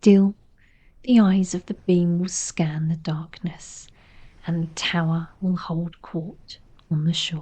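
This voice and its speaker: Soft-spoken and gentle in tone, this voice moves at a very slow pace with an English accent. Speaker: narrator. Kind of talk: sleep story. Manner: soft-spoken, gentle.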